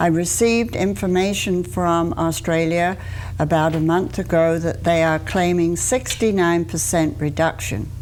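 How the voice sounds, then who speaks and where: A woman with an English accent speaks fairly slowly in a fairly low voice at very even loudness. Noticeable background noise and audible room echo come through in the recording. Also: ordinary pitch variation. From England. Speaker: deputy coroner. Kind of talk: TV interview.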